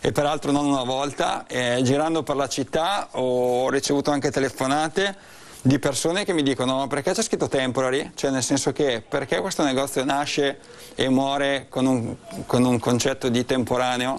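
This man keeps a very even loudness and ordinary pitch variation while speaking at a moderate pace. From Cremona, northern Italy; Northern Italy. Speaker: charity project spokesperson. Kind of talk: interview. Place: shop. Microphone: lapel.

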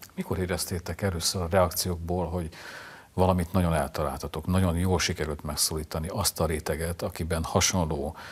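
The voice is somewhat breathy and moves at a moderate pace. Its intonation stays monotone and flat. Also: man. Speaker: literary show host. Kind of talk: interview. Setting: studio. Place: studio. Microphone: lapel.

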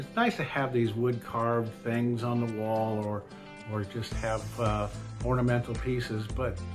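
Clear music is heard in the background. Over it, a man talks fairly slowly. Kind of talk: casual vlog chat. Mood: friendly, grateful. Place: workshop. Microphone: phone near.

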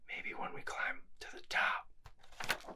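A man whispering. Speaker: ASMR creator. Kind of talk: ASMR whisper show and tell, casual talk to camera. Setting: indoors in a library. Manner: whispered, soft, intimate. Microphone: studio mic.

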